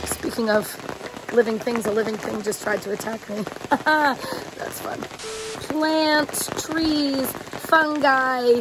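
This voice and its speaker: A woman's high voice with ordinary pitch variation at a very slow pace, over noticeable background noise. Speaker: science teacher / educational video host. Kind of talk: educational talk to camera. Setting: outdoors at a campground in the rain. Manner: quiet, subdued voice.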